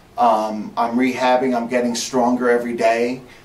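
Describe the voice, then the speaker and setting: Over noticeable background noise, a man at medium pitch talks at a fairly slow pace. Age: 40s. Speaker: spine surgery patient. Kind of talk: patient testimonial. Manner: hesitant, halting.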